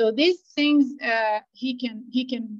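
A woman with a non-native accent speaks at a fairly slow pace. Her pitch varies in an ordinary way. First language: not English. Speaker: product manager. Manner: hesitant, filler-heavy.

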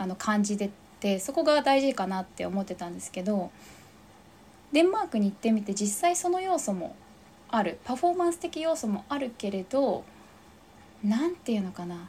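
Over noticeable background noise, a woman with a fairly high pitch talks at a moderate pace, her pitch swinging very widely between long, frequent pauses. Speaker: fitness instructor. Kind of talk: casual interview chat.

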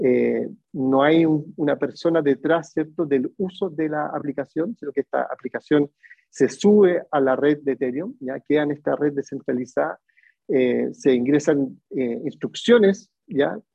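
Pitch varies an ordinary amount in an ordinary speaking voice. The pace is fairly slow. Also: man, fairly high pitch for a man. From Chile. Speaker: tourism innovation speaker. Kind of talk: webinar lecture.

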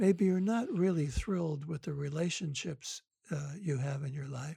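A man with an American accent speaks in a dark, mellow tone at a fairly slow pace with ordinary pitch variation. The sound is dry and close, with no echo. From US Midwest (Detroit, Michigan). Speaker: psychotherapist and author. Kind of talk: interview. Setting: remote call.

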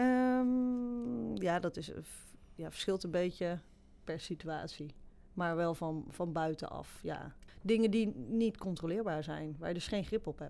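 A very slow woman's voice, fairly low and dark and mellow, with lively intonation, on a very clean recording with a silent background. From Netherlands, Betuwe (Varik). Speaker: graphic designer. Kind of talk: interview. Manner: hesitant, many fillers.

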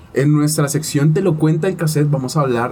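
A man talks at a fairly quick pace with a fairly high pitch. Noticeable background noise and audible room echo are present. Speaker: podcast host. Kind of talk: casual chat.

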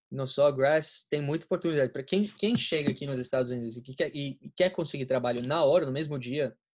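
Here a man talks at a moderate pace. His pitch is fairly high and his intonation fairly even. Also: quiet background. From Colombia, raised in Florida, USA. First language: Spanish (speaking Portuguese). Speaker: college student, friend of host. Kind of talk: casual chat.

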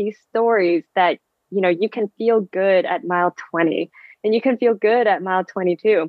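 The woman talks at a moderate pace. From San Francisco Bay Area, US. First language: Vietnamese. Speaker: physical therapist and amateur marathon runner. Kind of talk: casual interview chat.

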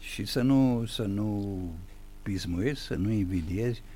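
Amid audible room echo, a man with a fairly low pitch and a dark, mellow tone speaks at a very slow pace with ordinary pitch variation. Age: 70s. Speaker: writer and playwright. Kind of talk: radio interview. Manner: formal.

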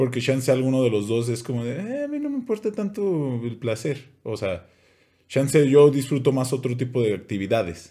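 This very clean recording has a silent background. A man talks at a moderate pace in a dark, mellow tone with lively intonation. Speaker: podcast co-host. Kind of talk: casual chat. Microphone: new microphone making voice sound deeper.

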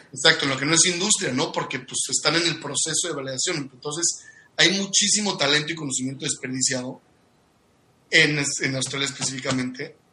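Noticeable background noise sits behind a man with a fairly high-pitched voice. He talks at a fairly quick pace with ordinary pitch variation. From Mexico, Cuernavaca. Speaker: industrial engineer and business coach. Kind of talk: casual interview.

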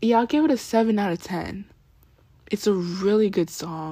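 A woman talks at a moderate pace with a dark, mellow tone. Her pitch variation is ordinary, on a very clean recording with a silent background. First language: not English. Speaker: YouTuber and podcaster. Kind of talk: casual solo review. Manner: halting.

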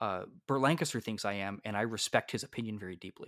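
Animated in tone, a man speaks at a medium pitch and moderate pace with ordinary pitch variation on a very clean recording with a silent background. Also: dry, close sound with no echo. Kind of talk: casual chat. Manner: joking, animated.

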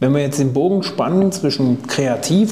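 A somewhat breathy man's voice at medium pitch, with lively intonation, a fairly slow pace and audible room echo. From Thuringia, Germany. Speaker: podcast host. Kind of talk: casual interview.

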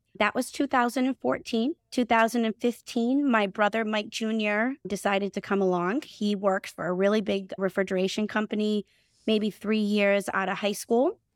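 In a Boston accent, a woman talks at a moderate pace and fairly high pitch with ordinary pitch variation, in a dry, close sound with no echo. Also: very clean recording, silent background. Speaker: HVAC company CEO and co-owner. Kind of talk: casual podcast interview.

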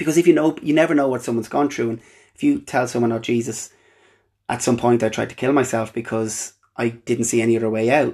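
On a very clean recording with a silent background, a man speaks in an Irish accent. His medium-pitched voice runs at a very fast pace with fairly even intonation. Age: 20s. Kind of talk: personal monologue, testimony. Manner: halting.

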